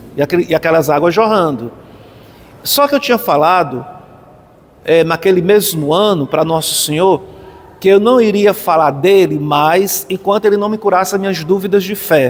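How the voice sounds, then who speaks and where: A man's high voice at a moderate pace, ordinary pitch variation, long, frequent pauses, and noticeable background noise. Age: 60s. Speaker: pilgrim. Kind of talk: testimony. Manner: halting.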